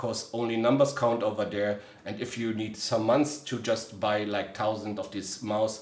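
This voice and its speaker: In a German accent, the speaker talks at a moderate pace with monotone, flat intonation and hardly any pauses, amid audible room echo and noticeable background noise. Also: man. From Germany. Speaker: gaming gear reviewer. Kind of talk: product review. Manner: hesitant, frequent filler sounds.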